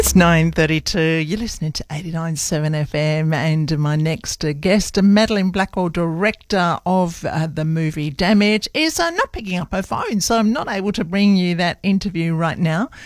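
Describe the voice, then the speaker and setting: A woman with a fairly low pitch speaks at a fairly slow pace amid noticeable background noise. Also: ordinary pitch variation, hardly any pauses. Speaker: radio host. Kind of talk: radio DJ patter. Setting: studio. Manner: chatty.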